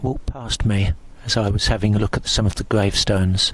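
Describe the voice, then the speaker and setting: There is noticeable background noise. A man talks at a medium pitch and a fairly quick pace. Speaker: paranormal investigator. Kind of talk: vlog-style narration. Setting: outdoors in churchyard. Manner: hushed, speaking quietly.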